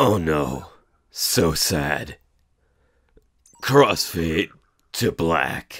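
With a guttural, put-on character voice, a man speaks at a very deep, low pitch and a very slow pace, leaving long, frequent pauses. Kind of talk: video game fan dub. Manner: over-the-top, confident, fierce.

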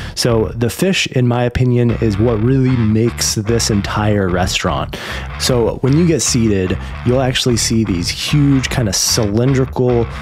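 A man talks at a fairly slow pace while faint music plays behind him. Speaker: food reviewer. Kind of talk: review commentary. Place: home room. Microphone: studio mic.

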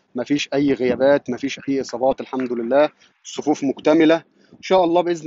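A man with a fairly high-pitched voice talks at a fairly quick pace, with a dry sound free of echo and light background noise. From Egypt. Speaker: sports reporter. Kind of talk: live commentary. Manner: animated. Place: stadium. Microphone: phone near.

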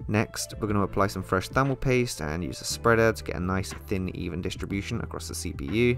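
Music plays in the background as a man with a very deep, low pitch moves at a fairly quick pace with hardly any pauses, his pitch swinging very widely. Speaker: PC restoration hobbyist. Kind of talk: voice-over narration of a tutorial. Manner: casual.

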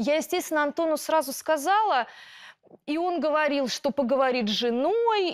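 The recording has a quiet background and a dry sound with no echo, with speech at a moderate pace. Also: woman. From Russia. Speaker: schoolteacher, plaintiff; schoolteacher. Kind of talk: courtroom testimony. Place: studio.

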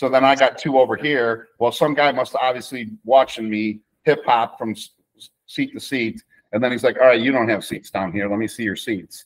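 A man with an American accent speaks at a medium pitch and moderate pace, his intonation fairly even, over a quiet background. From Chicago. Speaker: football coach and restaurant owner; football coach. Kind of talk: casual chat. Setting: video call. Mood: relaxed storytelling about concerts. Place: kitchen. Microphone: webcam.

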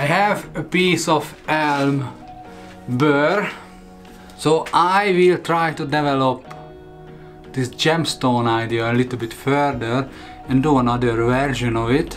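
A man at a very slow pace, ordinary pitch variation and long, frequent pauses, with faint music in the background. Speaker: woodturning channel host. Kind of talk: casual vlog chat. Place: workshop.

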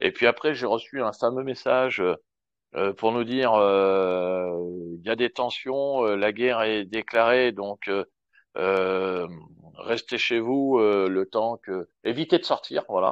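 Very slow pace with ordinary pitch variation. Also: man, medium pitch for a man. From France. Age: 40s. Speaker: expat public relations worker. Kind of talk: live Q&A in online audio room.

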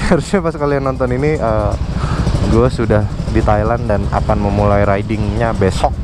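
Loud background noise behind speech at a moderate pace. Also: dry sound with no echo. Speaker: motovlogger. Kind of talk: casual vlog chat. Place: motorbike. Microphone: helmet.

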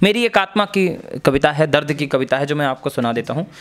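An unremarkable speaking voice from a man, fairly high in pitch, with ordinary pitch variation. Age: young. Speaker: comic poet; interviewee. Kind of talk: interview. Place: home room. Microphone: handheld.

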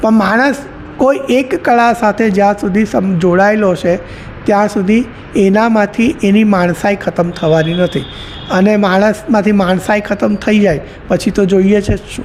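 A man with a high-pitched voice and ordinary pitch variation speaks over noticeable background noise. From Surat, Gujarat. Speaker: professor and poet. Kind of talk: interview.

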